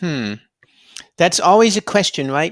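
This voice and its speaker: A fairly high-pitched man's voice with an American accent and ordinary pitch variation, on a very clean recording with a silent background. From California, US. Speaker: youtuber interviewing authors. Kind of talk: interview. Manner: halting.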